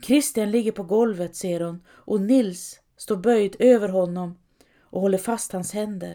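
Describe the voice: This is plain reading aloud against a quiet background.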